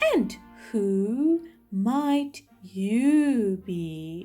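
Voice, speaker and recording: Faint music plays in the background. Over it, a woman uses a put-on character voice at a fairly high pitch. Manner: sleepy.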